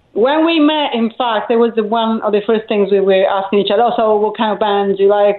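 A woman of medium pitch with an Italian accent, over noticeable background noise. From Italy, island of Elba. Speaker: rock singer and songwriter. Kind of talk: casual radio interview. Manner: hesitant, with fillers.

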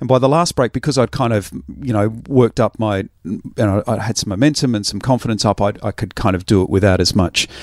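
A man with an Australian accent at a fairly quick pace, ordinary pitch variation, and a dry, close sound with no echo. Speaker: radio programmer and podcast host. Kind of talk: casual chat. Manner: hesitant, many ums and ahs.

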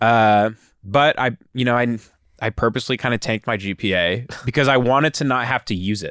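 A man with a plain, everyday voice and an American accent speaks at a fairly quick pace, his medium pitch moving with ordinary variation in a dry, close sound with no echo on a very clean recording over a silent background. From West Texas. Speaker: film producer. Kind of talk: casual chat.

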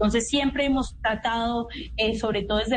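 Audible echo from the room surrounds a woman as she talks. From Colombia, Cali (Pacific region). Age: 20s. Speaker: youth advisor to the government, student leader. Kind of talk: radio interview. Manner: halting, many fillers and repetitions.

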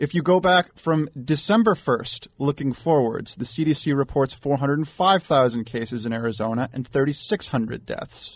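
A man with a plain, everyday voice speaks at a moderate pace with lively intonation and hardly any pauses. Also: fairly high pitch for a man. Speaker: data analyst. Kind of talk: talk radio discussion. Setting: studio.

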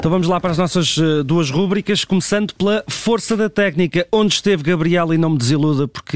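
The speaker is a man with a European Portuguese accent, talking at a very fast pace. The sound is dry and close, with no echo. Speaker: radio host. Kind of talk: casual chat.

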